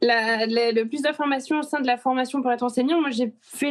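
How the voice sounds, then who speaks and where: Pitch moves up and down in a normal way. The delivery is fairly brisk. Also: woman. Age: 40s. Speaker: teacher. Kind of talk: interview. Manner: hesitant.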